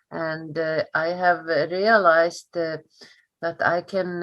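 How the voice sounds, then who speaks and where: Against a quiet background, a woman speaks at a fairly slow pace with an Icelandic accent. Her pitch sits fairly low. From northern Iceland. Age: 60s. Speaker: history teacher. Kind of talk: interview. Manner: halting, many fillers.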